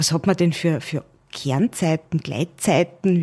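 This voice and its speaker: Somewhat breathy and dark, mellow in tone, a woman speaks at a fairly slow pace with lively intonation. The recording is very clean with a silent background and a dry, close sound with no echo. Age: 30s. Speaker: managing director. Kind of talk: interview.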